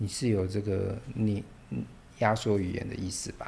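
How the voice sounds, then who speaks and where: A man's fairly low, somewhat breathy voice. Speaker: podcast host and literature teacher. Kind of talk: casual interview.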